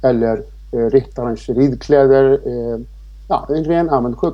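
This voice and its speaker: A man with an Icelandic accent, against noticeable background noise. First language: Icelandic (speaking Swedish). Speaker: riding instructor and author. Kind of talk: interview. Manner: hesitant, many fillers.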